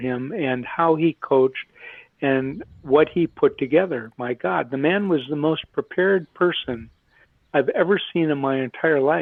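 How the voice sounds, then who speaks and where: This man has a normal speaking voice with an American accent and a fairly high pitch. He talks at a moderate pace with ordinary pitch variation. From Minnesota. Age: 60s. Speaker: retired Olympic hockey player. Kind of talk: podcast interview.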